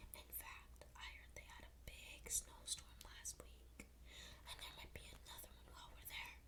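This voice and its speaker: Someone whispers softly at a moderate pace against noticeable background noise. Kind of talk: ASMR bedtime story reading. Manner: whispered, soft.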